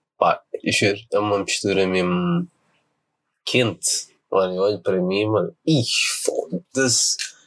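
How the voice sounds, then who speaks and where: This man's fairly low voice moves at a very slow pace. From Portugal. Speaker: podcaster. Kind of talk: casual chat.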